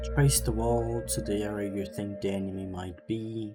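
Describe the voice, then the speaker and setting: With music in the background, a man speaks at a moderate pace in a fairly low voice. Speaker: gaming guide creator. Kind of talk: video game tutorial narration.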